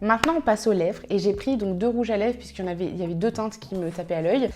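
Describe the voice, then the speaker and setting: Fairly high-pitched woman's voice with ordinary pitch variation and noticeable background noise. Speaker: beauty youtuber. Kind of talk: makeup tutorial. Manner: animated.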